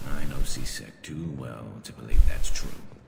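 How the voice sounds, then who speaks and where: A man uses a put-on character voice, growling at a very deep, low pitch. He keeps a moderate pace, and there is a slight echo. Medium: video game. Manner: cynical.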